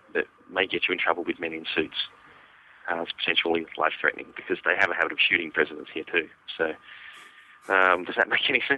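A man speaks at a very fast pace with an Australian accent. His pitch is very deep and low. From Western Australia. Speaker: comic book artist and writer. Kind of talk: interview conversation.

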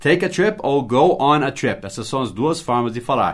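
With an English accent, a man speaks at a fairly high pitch with lively intonation, recorded very cleanly against a silent background. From United States. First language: English (speaking Portuguese). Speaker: English teacher. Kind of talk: language lesson.

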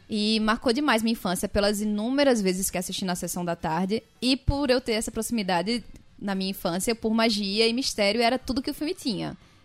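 Fairly high in pitch, a woman with a normal speaking voice talks at a fairly quick pace with ordinary pitch variation. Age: 20s. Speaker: podcast co-host. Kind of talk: casual chat.

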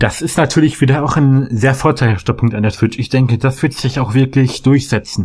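The voice is somewhat breathy, with fairly even intonation. It moves at a fairly quick pace with hardly any pauses. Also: man, medium pitch for a man. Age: young. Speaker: gamer guest. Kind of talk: casual chat. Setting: remote call.

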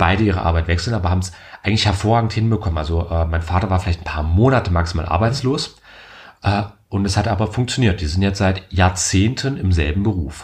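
Very deep and low, a man's somewhat breathy voice moves at a very fast pace with ordinary pitch variation. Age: 20s. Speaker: podcast host. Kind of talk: casual chat.

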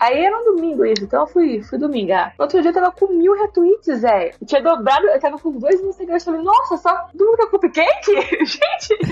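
A woman's extremely high-pitched voice with very wide pitch swings and hardly any pauses, over noticeable background noise. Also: moderate pace. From São Paulo, Brazil. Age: 30s. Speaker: software developer. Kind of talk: casual interview.

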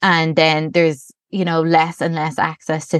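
A woman with a very deep, low pitch and a Dublin accent, monotone and flat in intonation, in a dry, close sound with no echo against a quiet background. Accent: Dublin Irish. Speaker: primary school teacher and campaigner. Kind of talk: interview.

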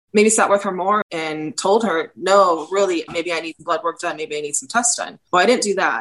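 A woman with an American accent speaks in a plain, everyday voice at a medium pitch and moderate pace, with ordinary pitch variation and hardly any pauses. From Southern California, San Diego area. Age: 40s. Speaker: patient advocate. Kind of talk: testimony.

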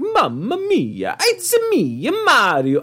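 The speaker puts on a character voice with an Italian accent. Light background noise runs underneath. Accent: exaggerated Italian.

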